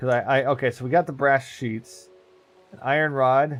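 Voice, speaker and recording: The man's medium-pitched speech has ordinary pitch variation. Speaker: Minecraft streamer. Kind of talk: casual gameplay live stream.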